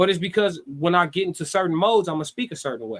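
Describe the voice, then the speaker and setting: Talking very fast with an American accent, a man uses an animated tone and ordinary pitch variation. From Chicago, west side and west suburbs. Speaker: live-stream commentator. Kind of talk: live-stream commentary. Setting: live stream.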